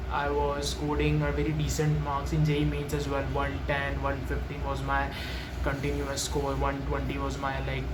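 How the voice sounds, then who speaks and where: In an Indian accent, a man with a very deep, low pitch talks at a moderate pace with monotone, flat intonation. Noticeable background noise and audible room echo come through. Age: young. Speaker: student vlogger. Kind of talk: personal story vlog. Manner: halting, with many fillers.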